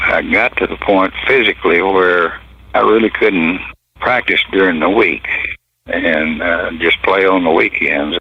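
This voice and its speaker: A man with a Southern US accent, at a fairly slow pace. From Texas and Arkansas. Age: 80s+. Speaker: retired pro football player. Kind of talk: interview storytelling.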